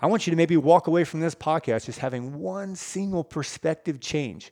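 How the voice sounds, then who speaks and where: With lively intonation and a passionate tone, a man talks in a fairly high voice, the sound dry and close with no echo. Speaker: fitness coach and podcast host. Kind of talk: motivational rant and pep talk; earnest direct-address pep talk to listeners. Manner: passionate, sincere, urgent.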